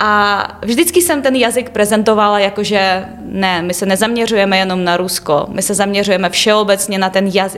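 At a moderate pace, a woman talks with a medium pitch and ordinary pitch variation. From Ukraine, Kyiv region (Obukhiv). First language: Ukrainian/Russian (speaking Czech). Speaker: university student. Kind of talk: interview. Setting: studio.

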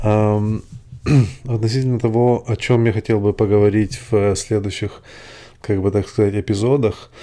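A man speaks with a non-native accent in a fairly low voice. His delivery is monotone and flat, with a dark, mellow tone. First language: not Russian (speaking Russian). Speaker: podcaster. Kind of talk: solo monologue. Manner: halting.

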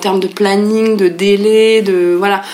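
A woman's medium-pitched voice at a very slow pace, with noticeable background noise. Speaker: illustrator and author. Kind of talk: interview. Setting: at home.

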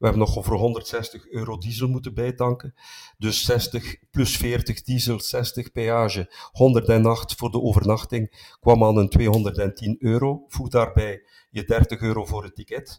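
With a dark, mellow tone and a somewhat breathy quality, a man speaks very slowly at a medium pitch, keeping fairly even intonation despite big swings in loudness. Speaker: football podcast co-host, travelling supporter. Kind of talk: casual chat.

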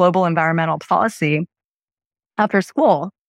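A woman with an American accent and an unremarkable speaking voice talks at a moderate pace in a fairly low pitch, with ordinary pitch variation, over a quiet background in a dry, close sound with no echo. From Erie, Pennsylvania (US). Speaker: venture capital investor. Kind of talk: interview.

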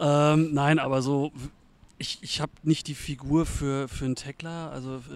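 Over music in the background, a man speaks at a moderate pace in a fairly high voice with monotone, flat intonation. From eastern Germany (former GDR). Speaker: volunteer football game day manager. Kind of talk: casual interview.

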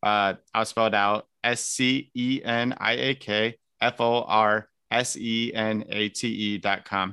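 A man with a Midwestern American accent speaks at a very slow pace in a bright, sharp tone, with monotone, flat intonation and very even loudness. The sound is dry and close with no echo over a quiet background. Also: medium pitch for a man. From US Midwest, northern Indiana (Elkhart). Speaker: political candidate. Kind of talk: interview.

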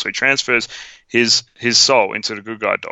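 Animated in tone, a man with an Australian accent speaks at a medium pitch and moderate pace with ordinary pitch variation. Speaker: podcast co-host. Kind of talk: casual movie review chat. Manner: animated, jokey.

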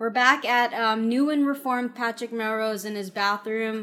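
A woman talks with a fairly high pitch. Music can be heard behind her. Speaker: TV recap podcast co-host. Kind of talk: casual chat. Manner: animated.

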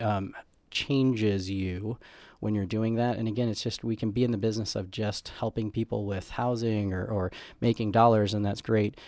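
In a very clean recording with a silent background, a man uses an ordinary speaking voice, fairly low in pitch, with fairly even intonation at a fairly quick pace. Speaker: combat veteran, nonprofit co-founder. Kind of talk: interview.

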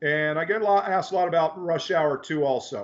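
This man has a normal speaking voice with a fairly high pitch. He talks at a fairly quick pace with ordinary pitch variation. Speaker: special effects coordinator. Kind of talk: casual interview chat. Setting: home man cave.

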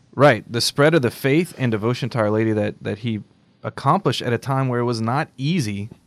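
A man with an unremarkable speaking voice, medium in pitch, with ordinary pitch variation and a moderate pace, on a very clean recording with a silent background. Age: 30s. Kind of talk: casual faith-themed chat. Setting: studio.

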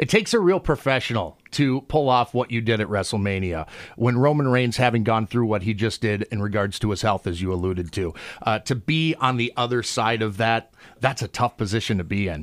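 A man talks at a fairly quick pace in an ordinary speaking voice with a medium pitch. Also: ordinary pitch variation. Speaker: radio host. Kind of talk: radio interview. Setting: studio.

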